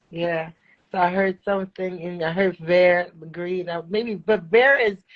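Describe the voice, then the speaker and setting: Her intonation fairly even, a woman with an American accent speaks at a fairly slow pace and a fairly low pitch. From New York City. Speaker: poet. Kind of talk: casual chat.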